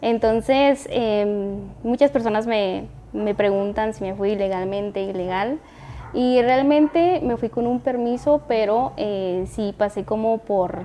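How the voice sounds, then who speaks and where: Speaking at a very slow pace, a woman with a Guatemalan accent has a fairly high pitch, a dark, mellow tone and ordinary pitch variation. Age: 20s. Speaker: entrepreneur. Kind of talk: casual interview.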